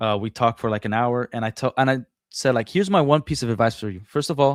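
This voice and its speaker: A man with a Portuguese accent talks at a fairly quick pace in a medium pitch with ordinary pitch variation. The recording is very clean with a silent background and a dry, close sound with no echo. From Brazil. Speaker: former franchise store owner. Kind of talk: casual interview. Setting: live stream.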